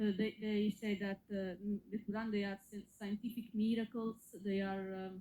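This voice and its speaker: A woman's dark, mellow voice at medium pitch, with a non-native accent, monotone, flat intonation and a moderate pace. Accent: foreign accent, noticeable. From Italy. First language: Italian. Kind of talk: call-in conversation. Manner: halting.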